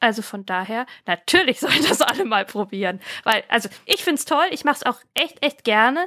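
A woman with a fairly high pitch and a bright, sharp tone at a moderate pace, in a very clean recording with a silent background and a dry, close sound with no echo. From Franconia, Germany (Erlangen). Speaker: dog trainer and author. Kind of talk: interview.

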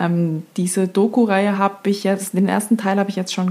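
A somewhat breathy woman's voice, medium in pitch, dark and mellow in tone, at a moderate pace. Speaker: podcast host. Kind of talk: casual chat.

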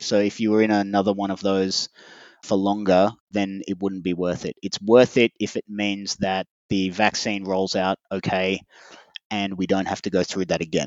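A man speaks with an Australian accent at a moderate pace. His intonation stays monotone and flat. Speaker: interview guest. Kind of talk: interview.

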